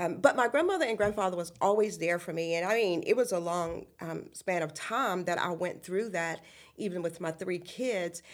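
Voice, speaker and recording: A woman talks at a moderate pace in a Virginia accent. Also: ordinary pitch variation. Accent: Virginia Southern. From US South, central Virginia (Appomattox County). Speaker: ministry founder. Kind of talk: interview testimony. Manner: halting, many fillers.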